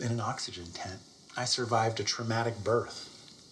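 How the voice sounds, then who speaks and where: A man's medium-pitched voice comes with audible room echo and noticeable background noise. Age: 40s. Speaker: business founder and executive. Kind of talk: interview testimony.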